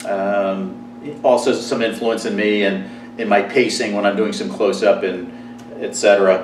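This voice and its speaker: A man speaks with an American accent, and audible room echo surrounds his voice. Noticeable background noise runs under the recording. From New Jersey. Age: 60s. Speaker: magician. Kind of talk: personal monologue to camera. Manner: casual, with frequent fillers.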